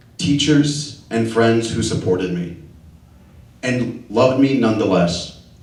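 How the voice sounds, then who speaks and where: In a Spanish accent, a man speaks at a medium pitch with ordinary pitch variation, and the room echo is audible. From Dallas, Texas (Oak Cliff). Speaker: LGBTQ community leader, panelist. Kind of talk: personal testimony on a panel.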